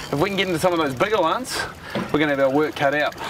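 Noticeable background noise surrounds a man speaking with a New Zealand accent in a dry sound with no echo. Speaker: fishing TV show host. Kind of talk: TV presenting with casual banter. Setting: outdoors on a boat. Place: boat.

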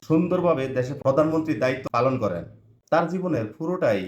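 A man talks in an ordinary speaking voice, with ordinary pitch variation. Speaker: online video narrator. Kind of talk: memorial tribute monologue.

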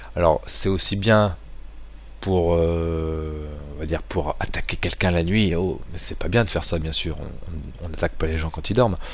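The speaker moves at a moderate pace with ordinary pitch variation and long, frequent pauses. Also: man, very deep, low pitch for a man. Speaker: amateur product reviewer. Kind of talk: product review. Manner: casual, hesitant with fillers. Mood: relaxed, joking. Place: home room. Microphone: poor crackling sound; camera far.

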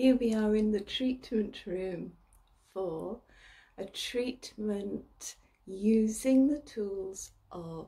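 A woman's very slow, somewhat breathy voice, dark and mellow, calm and soothing in tone, with ordinary pitch variation against a quiet background. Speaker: ASMR and reiki practitioner, meditation guide. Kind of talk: guided relaxation meditation. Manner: slow, calm, soothing. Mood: warm, smiling. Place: home room. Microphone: phone near.

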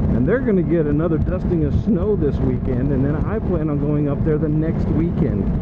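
Loud background noise sits behind speech at a moderate pace. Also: man. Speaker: motorcycle commuter vlogger. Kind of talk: casual vlog chat. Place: motorbike. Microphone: helmet.

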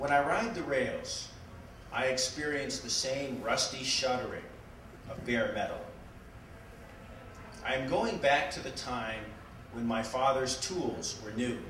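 A man at a fairly slow pace with ordinary pitch variation and long, frequent pauses, plus audible room echo and light background noise. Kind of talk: public reading from a book. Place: shop.

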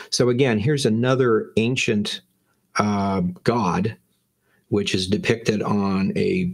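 With the background quiet, a man talks at a fairly low pitch. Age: 50s. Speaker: Bible teacher. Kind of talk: lecture. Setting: livestream. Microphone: webcam.

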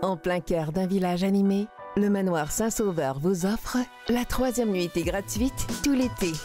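Over music in the background, a woman talks at a fairly slow pace in a medium pitch, with ordinary pitch variation and very even loudness. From Quebec. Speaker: voice actor. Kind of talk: TV commercial read.

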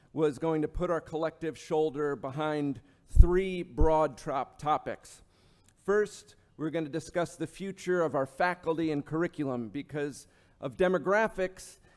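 Ordinary pitch variation at a moderate pace over a quiet background. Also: man. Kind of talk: formal speech. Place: hall.

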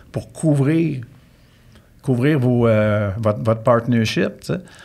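A man is speaking at a very slow pace. His pitch varies in an ordinary way. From Quebec. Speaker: real estate consultant, former lawyer; former lawyer. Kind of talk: casual interview. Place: studio. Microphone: studio mic.

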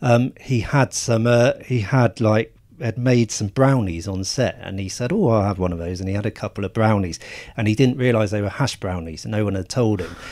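A man with an English accent, at a fairly quick pace with ordinary pitch variation. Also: very clean recording, silent background. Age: 40s. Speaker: film journalist. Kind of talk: casual chat. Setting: small hot room.

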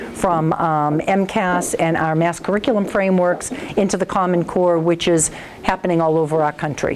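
A woman's unremarkable speaking voice, fairly low-pitched and fairly even in intonation, at a moderate pace over light background noise. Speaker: school official reporting. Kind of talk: meeting report. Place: meeting room. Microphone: lapel.

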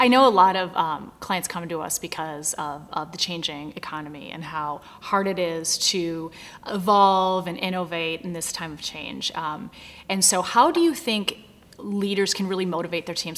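A woman talks at a moderate pace with ordinary pitch variation. Her loudness swings widely. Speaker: business manager. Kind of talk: interviewer questions. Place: office.

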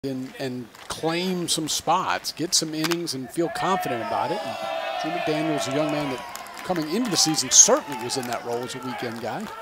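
A man with a fairly high pitch speaks in a relaxed tone over noticeable background noise. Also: lively intonation. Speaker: color commentator. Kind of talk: conversational color analysis between plays. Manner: relaxed, reactive with quick exclamations.

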